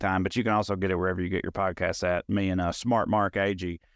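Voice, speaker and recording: An intense-toned man with a Tennessee accent, recorded with a dry, close sound with no echo against a quiet background. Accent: Southern US (Tennessee). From rural Middle Tennessee, US South (Clay County). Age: 30s. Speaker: stand-up comedian. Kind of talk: casual interview chat. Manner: can sound combative or intense.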